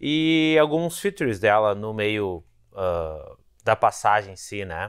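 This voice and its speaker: Set against a quiet background, a man's voice moves through very wide pitch swings. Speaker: motorcycle reviewer. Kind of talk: review intro talk to camera. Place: garage. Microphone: lapel.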